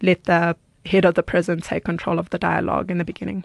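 A woman talks at a fairly quick pace in a fairly low pitch with vocal fry and fairly even intonation. The sound is dry and close with no echo, over a quiet background. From South Africa, Johannesburg. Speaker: forgiveness advocate and author. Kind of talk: personal testimony interview. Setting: studio.

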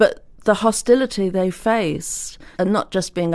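Against a quiet background, a woman speaks with an English accent. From England. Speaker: author and historian. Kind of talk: interview.

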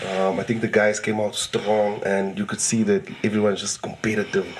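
A man with a South African accent talks at a moderate pace and fairly low pitch amid noticeable background noise. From Eastern Cape, South Africa. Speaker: comedian.

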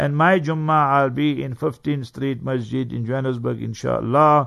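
Speaking at a fairly slow pace, a man with an unremarkable speaking voice keeps a medium pitch and fairly even intonation. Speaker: Islamic scholar. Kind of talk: religious lecture and Q&A. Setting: radio studio.

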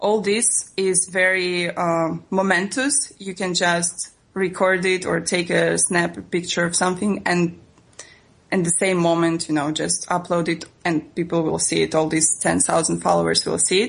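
Noticeable background noise surrounds a woman speaking at a fairly low pitch. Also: fairly even intonation. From Russia. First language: Russian. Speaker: travel blogger. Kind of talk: interview. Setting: phone call.

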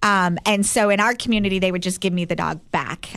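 A woman speaks at a moderate pace and a medium pitch in an ordinary speaking voice. Her intonation is fairly even. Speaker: dog trainer business owner. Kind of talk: casual interview chat.

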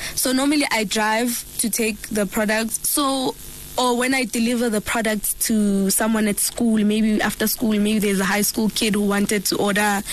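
Against noticeable background noise, a woman speaks at a fairly high pitch with very even loudness. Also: fairly even intonation, moderate pace. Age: 20s. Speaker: skincare entrepreneur. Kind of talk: radio interview. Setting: radio studio.

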